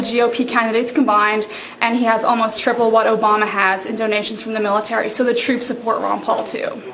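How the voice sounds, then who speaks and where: Over noticeable background noise and audible room echo, a woman with an Irish accent talks at a very fast pace and a fairly high pitch. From Ireland. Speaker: political campaign volunteer. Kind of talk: campaign endorsement speech.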